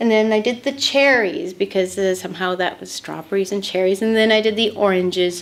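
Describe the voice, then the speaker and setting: A woman talks with a Canadian accent. She uses medium pitch and a fairly quick pace. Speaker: painter. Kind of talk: interview. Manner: halting, repeats words.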